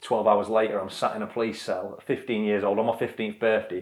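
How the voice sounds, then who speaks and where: A man speaks at a fairly low pitch. His pace is fairly quick. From northern England, Blackpool, Lancashire. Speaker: adventurer and former soldier. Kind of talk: interview. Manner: halting.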